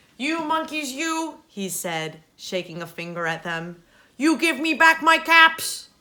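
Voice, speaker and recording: Put-on character voice at a fairly slow pace. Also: woman, high pitch for a woman. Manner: scolding.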